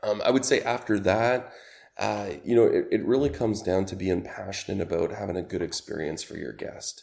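A man with a Canadian accent speaks with a fairly low pitch and vocal fry. His pace is fairly quick, with ordinary pitch variation. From Canada. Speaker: rental company sales executive. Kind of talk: interview.

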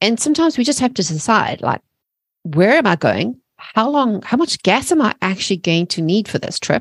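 At a moderate pace, a somewhat breathy voice makes very wide pitch swings on a very clean recording with a silent background and dry, close sound with no echo. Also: woman, fairly high pitch for a woman. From South Africa. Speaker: mindset coach and entrepreneur. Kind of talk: podcast interview.

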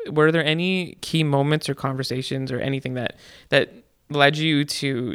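This man has a normal speaking voice at a medium pitch. His intonation is fairly even, and he keeps a moderate pace. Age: 20s. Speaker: podcast co-host. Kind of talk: casual chat. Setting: studio.

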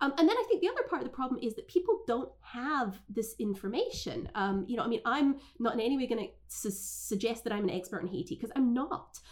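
Noticeable background noise runs under the recording. The speaker talks at a very fast pace. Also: woman. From Scotland. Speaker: foreign policy scholar. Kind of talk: interview conversation. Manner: hesitant with fillers.

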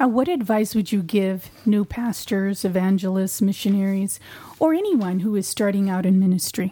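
At a moderate pace, the voice has a dark, mellow tone, sounds somewhat breathy, and keeps very even loudness with ordinary pitch variation. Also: woman, medium pitch for a woman. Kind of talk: interview.

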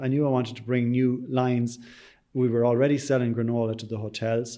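Speaking with an Irish accent, a man keeps a fairly quick pace. His tone is dark and mellow, at a medium pitch. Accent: Irish (Sligo). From Ireland, County Sligo. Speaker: bakery and tea room owner. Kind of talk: interview.

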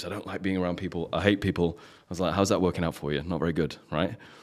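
A man with an English accent speaks at a very fast pace in a very deep, low pitch. The recording is very clean, with a silent background. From England. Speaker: high-performance coach. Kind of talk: casual chat.

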